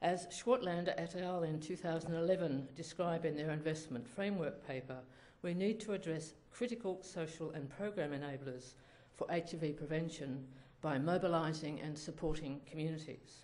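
This woman's pitch is very deep and low. Her pitch varies in an ordinary way. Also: moderate pace. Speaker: speaker. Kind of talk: lecture. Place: hall. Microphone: podium.

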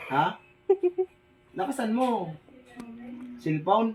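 A man is speaking. His pace is very slow. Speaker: vlogger. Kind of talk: casual vlog talk. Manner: halting, many fillers.

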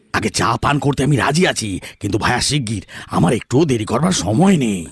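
Putting on a character voice, a man of medium pitch swings very widely in pitch at a fairly quick pace while his loudness stays very even. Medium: audio drama.

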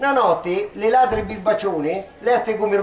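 A man's high pitch and ordinary pitch variation at a moderate pace, with audible room echo. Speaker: poet. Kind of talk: poetry reading in local dialect. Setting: outdoors, public ceremony. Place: street. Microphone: handheld.

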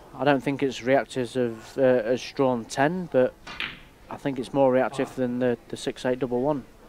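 Noticeable background noise sits behind a man speaking at a moderate pace. His intonation is monotone and flat, at medium pitch. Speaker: billiards player and co-commentator. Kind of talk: technical co-commentary, measured expert analysis. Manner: measured, explanatory, technical.

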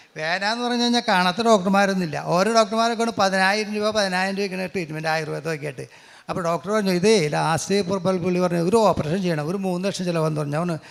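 With ordinary pitch variation, a man's voice rises to a high pitch. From Kerala, Angamaly area. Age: 60s. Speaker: real estate agent giving testimony. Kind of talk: religious testimony.

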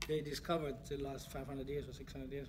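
A man with an Austrian accent at a very fast pace, over light background noise. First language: German. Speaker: chef. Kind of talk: interview answer. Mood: relaxed, enthusiastic. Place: home room. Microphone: phone near.

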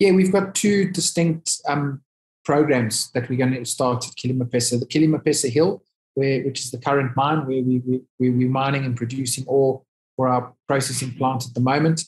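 Against a quiet background, a man talks at a moderate pace, somewhat breathy, with ordinary pitch variation. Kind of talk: interview answer. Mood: upbeat, excited. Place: office. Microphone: video call.

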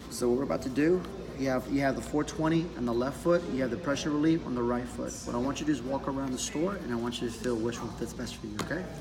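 Clear music plays behind a man who talks very fast at a medium pitch with ordinary pitch variation. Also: hardly any pauses. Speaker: shoe salesman. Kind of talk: in-store sales explanation. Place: shop. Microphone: phone near.

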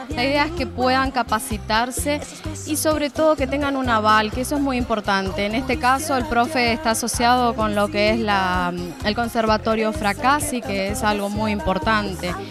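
Music plays in the background as a woman talks at a moderate pace, the sound dry with no echo. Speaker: dance teacher or organiser interviewed. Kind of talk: interview answer. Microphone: handheld.

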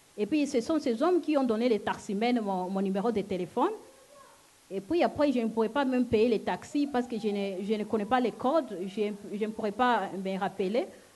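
A woman's fairly high voice with a non-native accent, ordinary pitch variation and a moderate pace. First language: not French (speaking French). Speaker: church member giving testimony. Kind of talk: testimony. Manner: halting. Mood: earnest, emotional. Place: hall. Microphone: handheld.

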